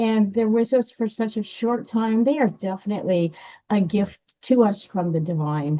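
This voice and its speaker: Against a quiet background, a woman with a dark, mellow tone and a fairly high pitch talks at a moderate pace with ordinary pitch variation. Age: 70s. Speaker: author and musician. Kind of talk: casual interview conversation.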